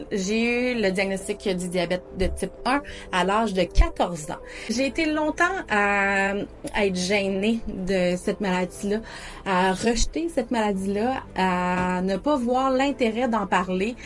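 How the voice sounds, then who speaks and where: A woman speaks very slowly at a medium pitch over noticeable background noise. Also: ordinary pitch variation. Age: 30s. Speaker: diabetes community video host. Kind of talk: personal storytelling monologue. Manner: hesitant, frequent fillers.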